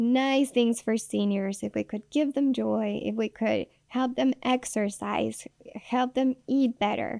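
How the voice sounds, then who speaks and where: A woman speaks very slowly with a Spanish accent. The sound is dry and close, with no echo. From Mexico City, Mexico. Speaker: nurse and nonprofit founder. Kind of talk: interview, personal story. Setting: radio studio. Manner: halting, many repetitions.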